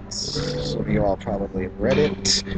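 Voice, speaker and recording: A man speaks at a moderate pace while noticeable background noise runs underneath. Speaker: YouTuber. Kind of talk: casual vlog commentary. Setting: bookstore, public place. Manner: quieter than usual.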